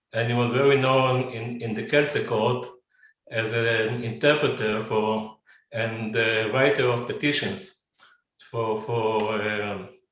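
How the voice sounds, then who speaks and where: Room echo is audible as a man talks at a very slow pace with fairly even intonation. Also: medium pitch for a man. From Israel. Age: 70s. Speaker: descendant of pogrom survivors, businessman. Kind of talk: personal family testimony in webinar. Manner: halting, many fillers and repetitions.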